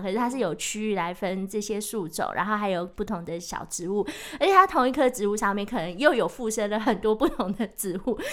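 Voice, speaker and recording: Over noticeable background noise, a woman with a fairly high voice talks at a fairly quick pace, her pitch varying in an ordinary way. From Taiwan, Taichung. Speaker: author and sustainability professional. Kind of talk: casual chat. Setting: studio.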